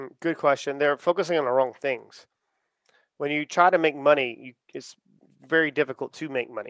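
A man with an ordinary speaking voice and an American accent talks at a moderate pace with a fairly high pitch and fairly even intonation. The sound is dry and close with no echo, and the background is quiet. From US South, Charleston, South Carolina. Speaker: podcast network founder. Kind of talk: interview.

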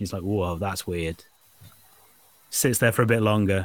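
A man with a Yorkshire accent. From northern England. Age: 40s. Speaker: podcast host. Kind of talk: casual chat.

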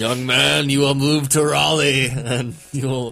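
A man puts on a character voice at a medium pitch. He goes at a fairly slow pace. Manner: spooky, ominous.

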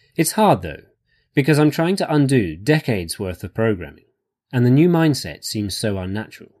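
On a very clean recording with a silent background, a man with an English accent speaks at a medium pitch and a fairly quick pace, his pitch swinging very widely. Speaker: voiceover reader. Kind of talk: reading aloud.

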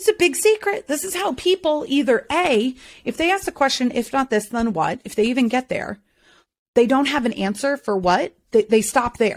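A woman with a high pitch speaks in an animated tone with very wide pitch swings. The sound is dry and close, with no echo. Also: moderate pace, very clean recording, silent background. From North Carolina, US South (born in Boston, moved at about nine). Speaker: burnout expert and keynote speaker. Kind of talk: casual interview chat.

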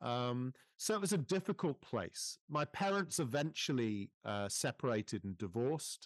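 A man with a British accent at medium pitch, very wide pitch swings, a moderate pace and hardly any pauses, in a quiet background with a dry, close sound and no echo. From UK, England. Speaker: speaker and former headteacher. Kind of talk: interview, conversational.

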